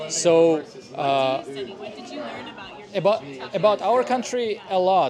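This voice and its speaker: Over noticeable background noise, a man speaks at a very slow pace with lively intonation. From Russia. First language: Russian. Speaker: stand-up comedian. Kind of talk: interview answer.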